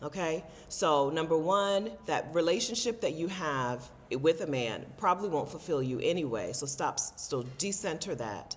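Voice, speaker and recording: In a plain, everyday voice, a woman talks at a moderate pace with lively intonation and a fairly low pitch. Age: 40s. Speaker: travel vlogger and content creator. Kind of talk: casual talk to camera.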